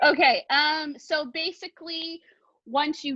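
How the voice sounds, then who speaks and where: A woman speaks loudly. The background is quiet. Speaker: direct sales team leader. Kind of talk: team training call. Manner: animated.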